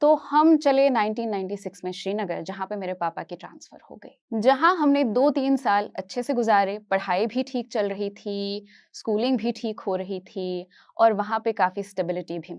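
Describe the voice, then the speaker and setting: Woman at a fairly high pitch, with lively intonation and hardly any pauses. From Kashmir, India; later Hyderabad. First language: Kashmiri (speaking Hindi). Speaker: educator, motivational speaker. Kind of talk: inspirational talk on stage.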